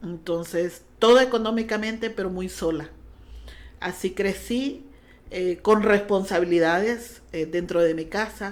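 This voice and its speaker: A woman speaks with a Honduran accent. Her pace is fairly slow, with ordinary pitch variation. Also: medium pitch for a woman. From Honduras. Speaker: pastor. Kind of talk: testimony.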